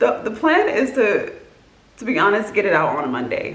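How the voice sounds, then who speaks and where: A woman speaks with a fairly high pitch and very wide pitch swings. Audible room echo and noticeable background noise surround her. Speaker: vlogger. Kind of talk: casual vlog monologue. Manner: fast; many filler words.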